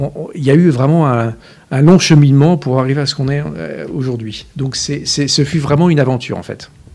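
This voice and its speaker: A man's fairly high yet dark, mellow voice at a fairly quick pace, with ordinary pitch variation. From France, Essonne (Paris region). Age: 60s. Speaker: company director. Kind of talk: interview. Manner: hesitant, many fillers.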